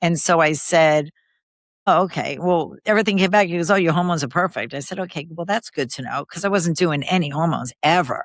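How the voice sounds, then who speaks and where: A normal speaking voice from a woman with an American accent, fairly low in pitch with ordinary pitch variation, at a fairly quick pace on a very clean recording with a silent background. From New York City, Queens. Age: 60s. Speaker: podcast guest, mother. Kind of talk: casual conversation interview.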